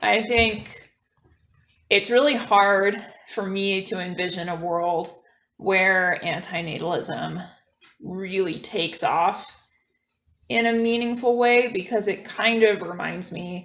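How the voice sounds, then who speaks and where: Long, frequent pauses mark a woman's very slow speech, heard with audible room echo. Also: medium pitch for a woman, ordinary pitch variation. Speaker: guest on a philosophy podcast. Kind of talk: casual conversation. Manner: hesitant with many fillers.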